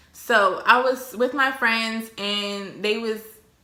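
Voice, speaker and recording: A woman with a fairly high pitch talks in a room with audible echo. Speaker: YouTuber. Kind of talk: casual storytelling vlog while eating. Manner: animated.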